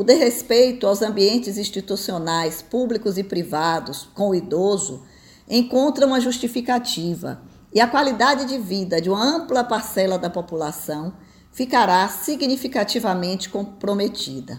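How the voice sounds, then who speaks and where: At a moderate pace, a woman speaks in a somewhat breathy, medium-pitched voice with very wide pitch swings. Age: 60s. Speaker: retired tax auditor and business mentor. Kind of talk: opinion commentary.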